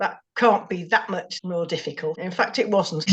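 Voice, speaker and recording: A woman with an English accent talks at a fairly quick pace. Her voice is fairly low in pitch and somewhat breathy. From England. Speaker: amateur cyclist. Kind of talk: interview.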